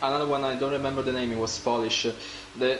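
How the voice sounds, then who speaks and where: Music plays in the background as a man talks with an Italian accent in monotone, flat intonation. Audible room echo surrounds his voice. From Italy. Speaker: sim racing co-commentator. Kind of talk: live commentary.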